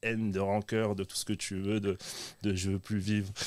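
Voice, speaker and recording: A plain, everyday voice is heard here. It moves at a moderate pace. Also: man. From southern France, Dutch-born. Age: 30s. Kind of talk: testimony.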